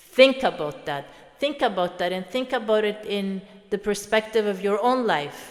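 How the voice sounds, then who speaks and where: The intonation is lively and the pace is moderate. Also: woman, medium pitch for a woman. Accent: Swedish. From Sweden. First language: Swedish. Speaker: motivational speaker. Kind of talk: reflective monologue. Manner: halting.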